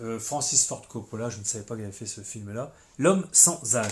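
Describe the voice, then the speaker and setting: Somewhat breathy, a man's voice varies its pitch in an ordinary way. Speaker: film collector video blogger. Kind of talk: casual chat. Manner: hesitant, many fillers.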